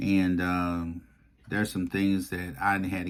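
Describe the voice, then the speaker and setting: A man speaks at a very deep, low pitch. His pace is fairly slow. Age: 50s. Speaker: YouTube commentator. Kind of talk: personal vlog monologue. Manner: emphatic, repetitive.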